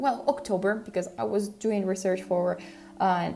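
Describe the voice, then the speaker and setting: A woman speaks with an Italian accent. Her pitch sits in the medium range and shows ordinary variation. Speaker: language learning podcaster. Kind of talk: casual podcast monologue. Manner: halting, self-correcting.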